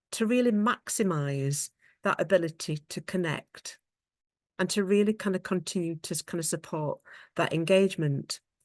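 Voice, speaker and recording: A woman with a British accent is heard in a dry, close recording with no echo and a quiet background. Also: medium pitch for a woman, ordinary pitch variation, moderate pace. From England. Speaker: occupational therapist and researcher. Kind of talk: conference presentation. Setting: online video conference. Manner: halting, many fillers.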